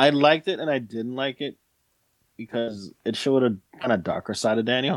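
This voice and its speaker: An unremarkable speaking voice from a man at medium pitch, fairly quick in pace with ordinary pitch variation, the sound dry and close with no echo. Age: 40s. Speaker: podcast co-host. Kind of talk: casual chat.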